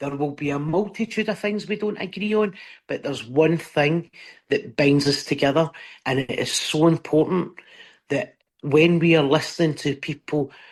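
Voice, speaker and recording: In a Scottish accent, a woman with a very deep, low voice speaks in a passionate tone at a moderate pace with ordinary pitch variation against a quiet background. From Scotland. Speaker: stand-up comedian. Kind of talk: interview answer. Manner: passionate, emphatic.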